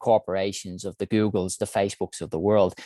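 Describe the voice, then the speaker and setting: Delivered at a fairly quick pace in an Irish accent, the voice has a dark, mellow tone and fairly even intonation, with a dry, close sound with no echo and a very clean recording with a silent background. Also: man. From Ireland, Dublin. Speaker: health innovation founder and CEO. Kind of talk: conference talk.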